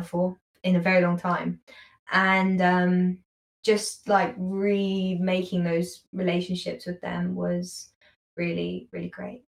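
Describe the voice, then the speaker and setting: In a London accent, a woman of medium pitch speaks in a somewhat breathy voice with monotone, flat intonation. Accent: London British. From London, England. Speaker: university student. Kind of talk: casual interview chat.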